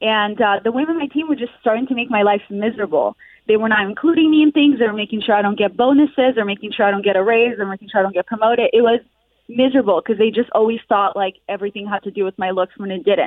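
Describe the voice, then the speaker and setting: Speaking at a very fast pace, a woman uses a fairly high pitch and ordinary pitch variation. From Russia and Israel. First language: Russian. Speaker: comedian and social media creator. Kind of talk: casual chat.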